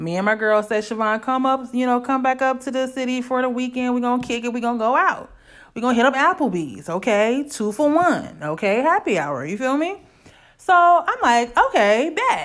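Speaking at a moderate pace, a woman uses an animated tone and a high pitch. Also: lively intonation, quiet background. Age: 30s. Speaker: podcast host. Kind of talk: solo casual monologue.

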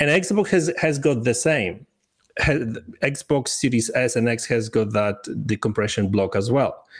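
With a Polish accent, a man talks at a fairly slow pace in a medium pitch, his intonation lively, his loudness very even and his voice somewhat breathy. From Poland. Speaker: gaming commentator. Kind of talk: casual chat. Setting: video call. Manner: halting.

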